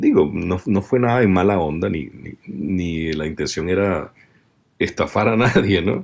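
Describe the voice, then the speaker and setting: In a very deep, low pitch, a man talks at a fairly slow pace with ordinary pitch variation. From Venezuela. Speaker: voice-over artist. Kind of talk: interview.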